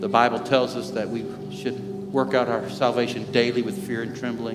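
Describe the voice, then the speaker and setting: Over music in the background, the voice moves at a fairly quick pace. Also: man. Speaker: lead pastor. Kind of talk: sermon. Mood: warm, earnest. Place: church.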